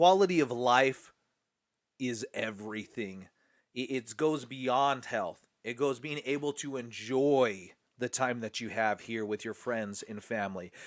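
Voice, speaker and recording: A man with a medium-pitched voice speaks at a fairly slow pace with ordinary pitch variation and an enthusiastic tone. The recording is very clean, with a silent background. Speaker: nutrition seminar presenter. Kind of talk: seminar presentation.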